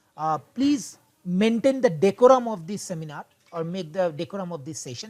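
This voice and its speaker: Using a Bengali accent, a man talks at a fairly quick pace with a high pitch and very wide pitch swings. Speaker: instructor. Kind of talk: online class session. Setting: video call. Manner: halting.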